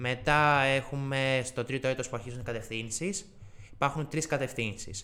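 The man has a normal speaking voice with ordinary pitch variation. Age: 20s. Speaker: university student. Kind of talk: interview.

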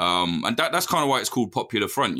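A man's bright, sharp voice at a very fast pace, on a very clean recording with a silent background. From English Midlands. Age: 30s. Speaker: journalist. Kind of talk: interview. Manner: animated.

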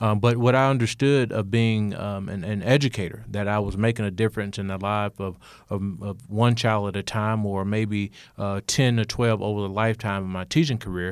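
In an Alabama accent, a man with a fairly low pitch speaks at a fairly quick pace and with fairly even intonation. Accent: Southern US (Alabama). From US South, rural Alabama. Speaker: state legislator and former teacher. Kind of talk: interview.

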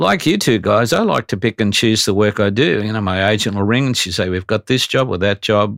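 With an Australian accent, a man speaks at a fairly quick pace with hardly any pauses. His pitch is fairly low with ordinary pitch variation, and the sound is dry and close with no echo. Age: 70s. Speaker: voice actor. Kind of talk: casual chat.

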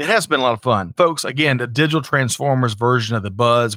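A bright, sharp tone carries a Southern US accent with a dry, close sound and no echo. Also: man. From US South, South Carolina. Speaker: podcast host. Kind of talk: casual livestream chat.

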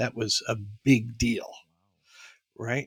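A man with a New York accent speaks at medium pitch with fairly even intonation. The sound is dry and close, with no echo. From New York, the Bronx. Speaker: former airline pilot and auto industry consultant. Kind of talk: casual interview.

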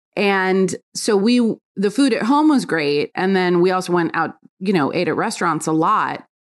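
A woman with an American accent, an unremarkable speaking voice, medium pitch, lively intonation and a moderate pace, over a quiet background. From New York. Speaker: food editor and cookbook author. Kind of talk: casual interview. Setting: at home.

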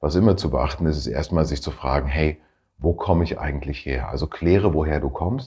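In a quiet background, a man with a very deep, low pitch speaks at a moderate pace in a dark, mellow tone with vocal fry. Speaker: career coach and podcast host. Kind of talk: casual solo podcast talk. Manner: halting, many fillers.

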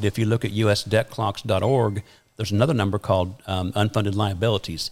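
On a very clean recording with a silent background, a man with a fairly low pitch talks at a moderate pace with fairly even intonation in a plain, everyday voice. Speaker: podcast guest, retirement and tax planning advisor.

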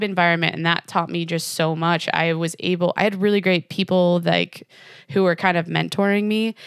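A woman with an American accent talks at a fairly quick pace. The recording is very clean, with a silent background and a dry, close sound with no echo. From Western New York, Jamestown. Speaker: brewer and beer industry consultant. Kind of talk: casual podcast interview.

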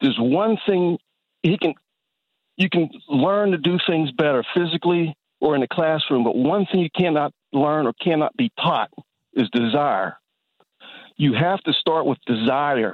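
With lively intonation and a fairly high pitch, a man speaks at a fairly slow pace in very even loudness, leaving long, frequent pauses. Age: 60s. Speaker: caller. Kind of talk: call-in discussion. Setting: phone call.

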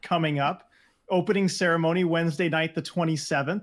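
This man's voice sits high in pitch. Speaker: podcast co-host. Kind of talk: casual chat.

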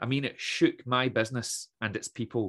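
A man with a west coast Scottish accent, medium pitch and fairly even intonation, in a very clean recording with a silent background. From west coast of Scotland (Troon, Ayrshire). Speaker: motivational speaker, former teacher and comedian. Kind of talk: casual interview chat.

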